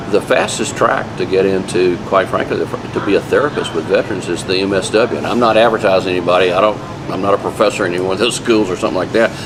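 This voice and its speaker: Music plays in the background as the speaker rushes along at a very fast pace, hardly pausing, with fairly even intonation. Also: man, fairly low pitch for a man. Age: 60s. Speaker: veterans' mental health professional. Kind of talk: interview answers, casual advice. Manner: conversational, informal with fillers.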